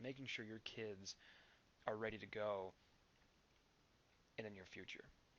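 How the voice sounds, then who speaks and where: A man with a calm tone and a fairly low pitch. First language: not English. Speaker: network marketing vlogger. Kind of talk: motivational vlog.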